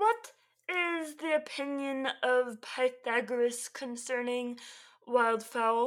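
Female-sounding voice in a put-on character voice, high pitched and very slow. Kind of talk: comic mock-clerical performance. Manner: solemn, mock-stern, theatrical.

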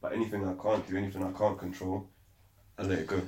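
Very fast, somewhat breathy speech from a man, fairly low in pitch and monotone and flat in intonation. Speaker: podcast host. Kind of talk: casual chat. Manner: frequent pauses.

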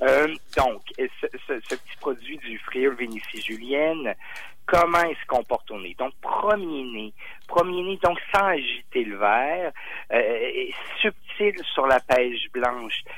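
Speaking at a very slow pace, a man's voice shows big swings in loudness. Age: 40s. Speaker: sommelier. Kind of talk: radio wine segment chat. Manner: animated; halting, many fillers.

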